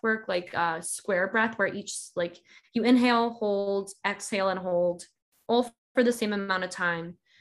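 An ordinary speaking voice, a woman with an American accent at a moderate pace, in a very clean recording with a silent background. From US South, Georgia. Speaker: author and practicing witch. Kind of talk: casual chat.

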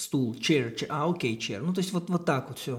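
A man talks at a fairly quick pace in a somewhat breathy voice with a fairly high pitch. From Kazakhstan. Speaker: circus artist and clown. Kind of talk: casual chat.

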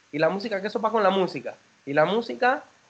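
Speaking with a Panamanian accent, a man has a high pitch and lively intonation. His pace is very fast. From Panama, Panama City. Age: 30s. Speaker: singer and band founder. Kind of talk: interview.

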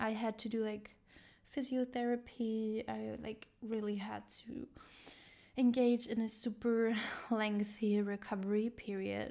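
A woman speaks at a fairly high pitch with a dark, mellow tone. Her pace is fairly slow and her intonation monotone and flat. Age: 20s. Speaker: podcast host. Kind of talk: personal monologue.

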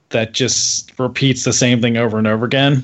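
The speaker has a plain, everyday voice, with fairly even intonation at a moderate pace. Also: man. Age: 30s. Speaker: podcast co-host. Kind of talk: casual chat.

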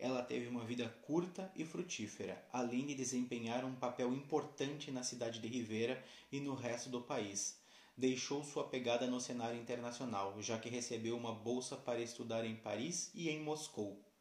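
Delivered at a moderate pace with ordinary pitch variation, the voice carries audible room echo and noticeable background noise. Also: man, medium pitch for a man. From southern Brazil, Uruguayan border (Santana do Livramento). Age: 30s. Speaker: university student. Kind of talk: scripted narration. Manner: formal.

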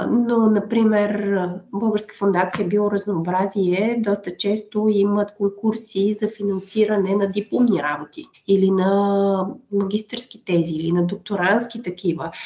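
Over noticeable background noise, a woman speaks at a fairly slow pace. Her loudness is very even, and her intonation is fairly even too. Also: medium pitch for a woman. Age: 30s. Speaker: biologist, conservation project manager. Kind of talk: interview.

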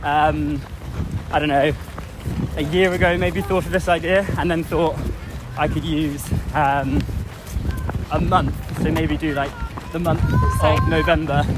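A man talks with long, frequent pauses, with audible room echo and noticeable background noise around him. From England. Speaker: amateur endurance runner and charity fundraiser. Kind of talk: casual interview while jogging. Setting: outdoors in a park. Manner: hesitant, many fillers.

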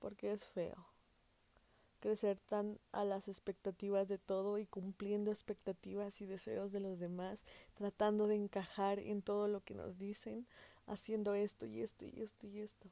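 A woman at a medium pitch speaks fairly slowly in a dark, mellow tone with monotone, flat intonation. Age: 20s. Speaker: podcast host. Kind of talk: casual monologue.

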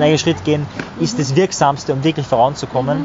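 There is noticeable background noise as a man speaks with a fairly high pitch. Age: 20s. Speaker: psychology coach and public speaker. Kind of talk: casual chat. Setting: outdoors by a river.

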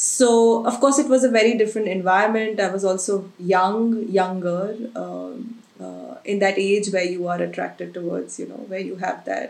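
A woman talks with ordinary pitch variation while noticeable background noise is present. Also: medium pitch for a woman, moderate pace. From India, Agra. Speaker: origami artist. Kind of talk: interview conversation.

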